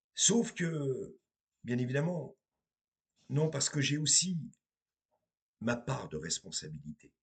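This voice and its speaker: Somewhat breathy and fairly high-pitched, a man speaks at a very slow pace with lively intonation and long, frequent pauses. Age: 50s. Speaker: medium and tarot reader. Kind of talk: spiritual monologue to viewers.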